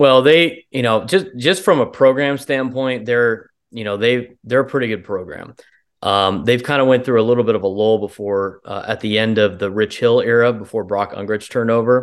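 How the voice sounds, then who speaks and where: A man's ordinary speaking voice with an American accent, medium pitch, ordinary pitch variation and a moderate pace against a quiet background. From San Diego, California. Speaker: baseball play-by-play announcer. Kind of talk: casual chat.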